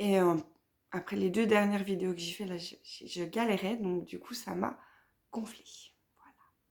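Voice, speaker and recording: The speech moves at a moderate pace with fairly even intonation. Loudness swings widely, and long pauses come often. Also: woman, medium pitch for a woman. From Vosges, north-eastern France. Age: 30s. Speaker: knitting podcaster. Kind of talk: casual vlog chat. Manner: hesitant, many fillers.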